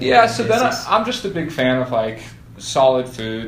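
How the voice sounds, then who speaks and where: A man's voice at a moderate pace, with ordinary pitch variation and noticeable background noise. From Boulder, Colorado, USA. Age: 20s. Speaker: professional triathlete. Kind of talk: interview answer.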